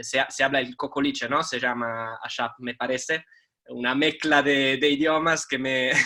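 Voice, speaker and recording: In an Italian accent, a man speaks with a fairly high pitch and a bright, sharp tone. His intonation is monotone and flat, and his pace is fairly slow. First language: Italian (speaking Spanish). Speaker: teacher and journalist. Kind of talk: talk. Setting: video call. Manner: halting.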